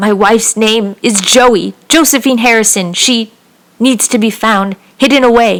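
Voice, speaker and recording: A woman puts on a growling, wheezy character voice at a fairly high pitch, keeping a moderate pace, fairly even intonation and very even loudness. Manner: growling through gritted teeth.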